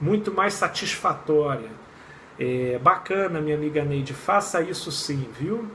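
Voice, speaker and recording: A man with an unremarkable speaking voice, fairly high in pitch, lively in intonation and fairly slow in pace. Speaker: clinical psychologist. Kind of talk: live stream chat. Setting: live video stream.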